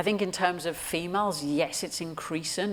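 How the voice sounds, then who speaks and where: This speaker has a Geordie accent. The pace is moderate. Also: woman. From Newcastle, England. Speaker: sports performance director. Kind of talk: interview answer on stage. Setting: live audience event.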